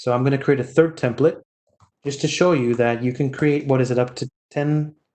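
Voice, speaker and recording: A man with a plain, everyday voice talks fairly quickly at a fairly high pitch. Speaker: technical trainer. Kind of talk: live technical demo. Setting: online meeting.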